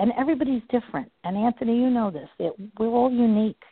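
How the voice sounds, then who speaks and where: A woman talks at a fairly quick pace in a plain, everyday voice. Her pitch is fairly high. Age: 60s. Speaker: energy healer and spiritual teacher. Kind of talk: interview. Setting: phone call.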